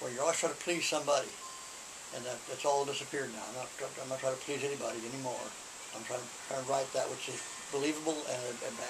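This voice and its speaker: Very fast pace broken by long, frequent pauses from a man at a fairly high pitch, with audible room echo and noticeable background noise. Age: 70s. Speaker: poet and writer, retired writing teacher. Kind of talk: interview. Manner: halting, many repetitions.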